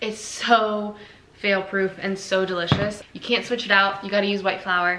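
Audible room echo surrounds a woman who speaks at a moderate pace with a monotone, flat intonation. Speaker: lifestyle vlogger. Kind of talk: casual vlog chat. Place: kitchen. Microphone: camera far.

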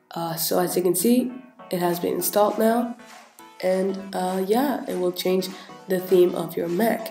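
Music plays in the background as a woman talks at a moderate pace. Her pitch is medium and her intonation fairly even. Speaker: tech tutorial YouTuber. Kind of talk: casual screen-recording tutorial. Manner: casual, hesitant with fillers.

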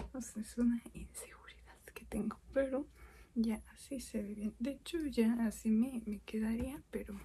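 A soft-spoken woman with a high voice and a dark, mellow tone talks at a very slow pace, her intonation fairly even. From Mexico. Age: 20s. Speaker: programmer. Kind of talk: ASMR soft-spoken makeup chat.

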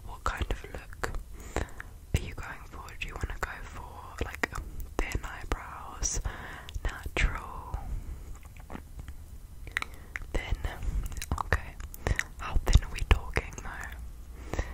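A soft-spoken woman whispers at a very slow pace with long, frequent pauses over noticeable background noise. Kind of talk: roleplay addressing viewer. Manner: soft intimate whisper. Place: home room. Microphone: phone near.

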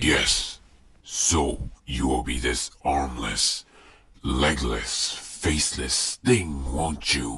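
A man does a cartoonish character voice, raspy and very deep, at a very slow pace. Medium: puppet. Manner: menacing, mocking.

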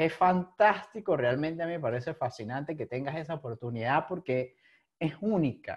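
Here a man speaks with lively intonation at a fairly high pitch. The pace is moderate. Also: quiet background. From Venezuela. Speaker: podcast host. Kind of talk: casual interview chat. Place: home room. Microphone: video call.

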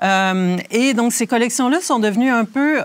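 A woman speaks with lively intonation. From Quebec (Rimouski). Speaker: museum conservator. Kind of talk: guided tour interview. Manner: hesitant, many fillers.

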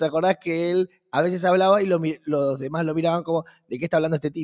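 The background is quiet as a man talks at a very fast pace. His pitch is high. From Argentina. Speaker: podcast co-host. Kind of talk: casual chat. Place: studio. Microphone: studio mic.

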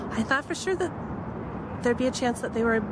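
A woman speaks with a dry sound and no echo. Noticeable background noise runs underneath. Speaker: vlogger. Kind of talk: casual vlog chat. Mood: cheerful, slightly disappointed. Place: waterside. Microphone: phone near.

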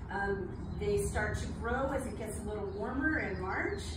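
A woman speaks at a moderate pace. Noticeable background noise and audible room echo surround her. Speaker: botanist lecturer. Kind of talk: lecture. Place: garden. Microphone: camera far.

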